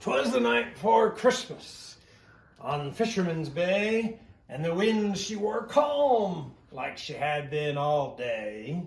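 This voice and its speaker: A man's put-on character voice, high in pitch, with very wide pitch swings, at a very slow pace. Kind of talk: rhyming bedtime story, pirate style. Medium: read story. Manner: hearty, chuckling.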